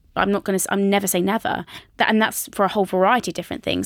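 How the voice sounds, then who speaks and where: Monotone, flat intonation comes through in a British accent. The sound is dry and close with no echo, in a very clean recording with a silent background. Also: woman. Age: 20s. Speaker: personal trainer and author. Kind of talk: casual chat. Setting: studio.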